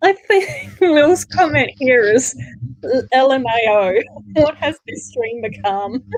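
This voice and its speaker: Very slowly and in an Australian accent, a woman speaks in a high voice with very wide pitch swings. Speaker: livestream co-host reading chat. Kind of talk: casual livestream chat.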